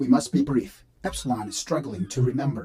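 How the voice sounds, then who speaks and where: Using a put-on character voice, a man speaks at a medium pitch and a fairly quick pace. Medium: machinima. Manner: measured, precise, deadpan.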